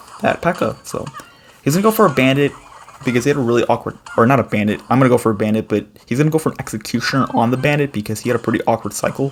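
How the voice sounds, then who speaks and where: Noticeable background noise beneath very fast talking and ordinary shifts in pitch. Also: man, medium pitch for a man. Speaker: gaming YouTuber. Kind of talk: gameplay commentary tutorial. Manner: casual with fillers.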